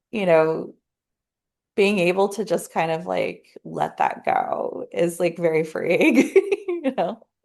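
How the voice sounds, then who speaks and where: The speaker talks at a very slow pace in a Southern California accent. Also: woman. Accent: valley girl. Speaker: podcast host. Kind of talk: casual chat. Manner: many filler words.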